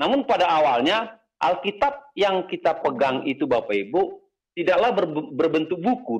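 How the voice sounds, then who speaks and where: A man speaks at a moderate pace in a high pitch. His pitch swings very widely. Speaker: pastor teaching Bible doctrine. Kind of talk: lecture. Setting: video call. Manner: halting, many fillers.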